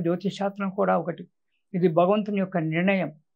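Over a quiet background, a man speaks in a high pitch. His intonation is monotone and flat. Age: 70s. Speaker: astrologer; guest. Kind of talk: religious talk. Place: studio. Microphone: lapel.

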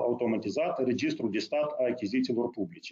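This man has an ordinary speaking voice. He speaks at a fairly quick pace and medium pitch. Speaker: deputy prime minister, finance. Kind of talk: formal briefing. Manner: formal.

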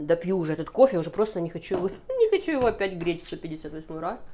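Dark, mellow female voice with very wide pitch swings at a moderate pace. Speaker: beauty vlogger. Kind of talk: casual monologue.

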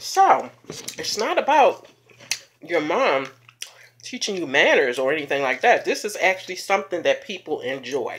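A woman speaking at a fairly slow pace over light background noise. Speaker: mukbang vlogger. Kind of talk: casual vlog chat. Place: home room. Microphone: phone near.

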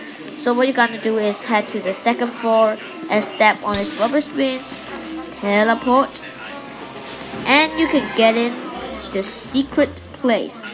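A woman speaks with fairly high pitch and ordinary pitch variation. Noticeable background noise sits behind her. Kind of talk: casual gameplay house tour narration.

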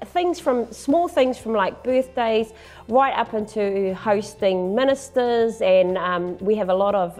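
The speaker is a woman talking at a fairly slow pace. Faint music plays in the background. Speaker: election candidate. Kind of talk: interview answer. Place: studio. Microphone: lapel.

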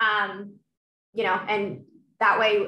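A woman speaks with a bright, sharp tone and fairly even intonation. Audible room echo surrounds her voice. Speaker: sales manager, former college cheerleader; sales manager. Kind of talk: panel discussion on video call. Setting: video call. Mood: friendly, encouraging. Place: home room. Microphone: video call.

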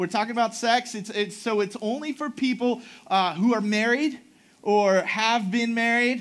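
This man's voice is high in pitch, with fairly even intonation. He talks at a moderate pace. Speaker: pastor. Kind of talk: sermon. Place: church.

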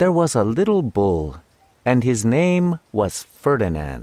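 A man speaks in a gentle tone. His pitch swings very widely. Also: dry, close sound with no echo. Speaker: voice actor. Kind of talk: children's audiobook narration. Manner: leisurely, gentle.

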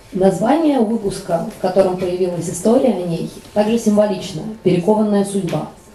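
Over light background noise and audible room echo, a woman speaks at a moderate pace and a medium pitch with ordinary pitch variation. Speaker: panel moderator. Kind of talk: panel discussion. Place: hall.

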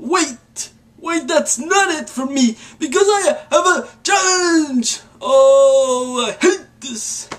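This put-on character voice has an extremely high pitch, very wide pitch swings and a very slow pace. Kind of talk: casual vlog talk to camera. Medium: role play.

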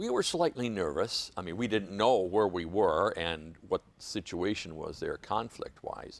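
The voice carries an Upper Midwest accent. Its pace is fairly slow. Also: man. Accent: Upper Midwest American. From Michigan, Muskegon; Michigan. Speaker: Vietnam war veteran. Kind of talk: oral history interview. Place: studio. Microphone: lapel.

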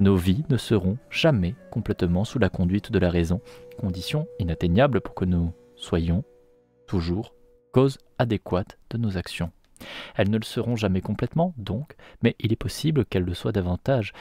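A man's fairly low voice at a moderate pace with long, frequent pauses, dry with no echo, over faint music in the background. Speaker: streamer reading a book aloud. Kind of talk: reading aloud from a philosophy book. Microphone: studio mic.

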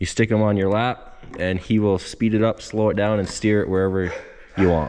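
A man's normal speaking voice, fairly low in pitch and at a fairly quick pace. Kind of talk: casual vlog commentary. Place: workshop. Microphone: phone near.

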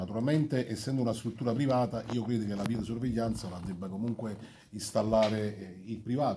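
A man with a dark, mellow tone speaks at a fairly quick pace. His intonation is fairly even over light background noise. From Campania. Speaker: mayor. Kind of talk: press conference speech. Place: meeting room. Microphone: phone near.

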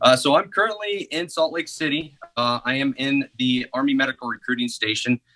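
Against a quiet background, a man talks at a moderate pace in a bright, sharp tone with ordinary pitch variation. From Northeast Missouri, US Midwest. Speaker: army medical recruiter. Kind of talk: interview. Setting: video call. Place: office. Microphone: video call.

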